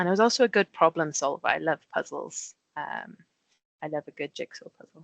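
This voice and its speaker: With a Welsh accent, a woman talks at a fairly quick pace, her loudness swinging widely in a dry, close sound with no echo. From Wales. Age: 30s. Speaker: safety engineer. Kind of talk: presentation to school pupils.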